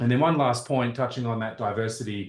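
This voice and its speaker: The speaker, with an Australian accent, talks at a moderate pace with ordinary pitch variation. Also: man. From Australia (Perth). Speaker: computer scientist, board member. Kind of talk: self-introduction at online public meeting. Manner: hesitant, many fillers and restarts.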